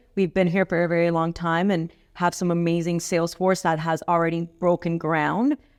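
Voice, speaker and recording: A woman with a Miami accent speaks in a monotone, flat intonation at a fairly low pitch, with very even loudness at a moderate pace. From Miami, Florida (born in Cali, Colombia). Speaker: real estate professional. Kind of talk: podcast interview.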